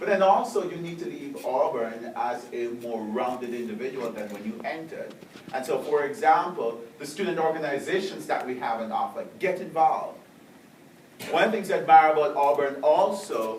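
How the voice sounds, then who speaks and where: A man with a Jamaican accent speaks in a fairly high pitch with very wide pitch swings. The recording has audible room echo and noticeable background noise. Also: big swings in loudness. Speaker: professor. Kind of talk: speech to students.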